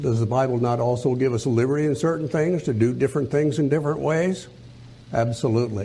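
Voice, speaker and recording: A man talks at a very fast pace in a dark, mellow, somewhat breathy voice. His loudness stays very even, and the room echo is audible. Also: medium pitch for a man, ordinary pitch variation. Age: 80s+. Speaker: preacher. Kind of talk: sermon.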